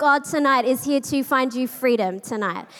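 This woman speaks with an Australian accent. Her pace is moderate. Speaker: pastor. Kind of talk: sermon. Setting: church with live audience.

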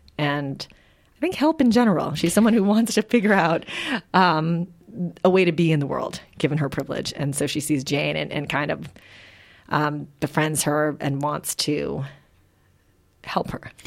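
A woman with a Midwestern accent, very deep and low in pitch, with vocal fry, ordinary pitch variation, a moderate pace and long, frequent pauses. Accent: American Midwest. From Philippines, raised in Wisconsin. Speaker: novelist. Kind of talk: interview.

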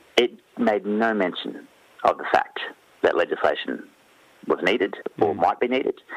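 Over noticeable background noise, a man with an Australian accent speaks at a moderate pace, leaving long, frequent pauses. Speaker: newspaper reporter. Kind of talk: radio interview. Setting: phone call.

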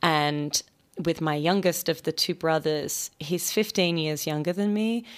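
A woman with an Australian accent speaks at a fairly low pitch and a fairly slow pace. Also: ordinary pitch variation, very clean recording, silent background. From Australia, Sydney. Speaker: novelist. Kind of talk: radio interview. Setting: radio studio.

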